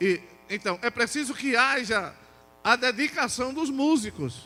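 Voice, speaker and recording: A man's raised, projected voice comes through in a bright, sharp tone. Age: 60s. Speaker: pastor. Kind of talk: sermon. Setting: church. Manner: animated.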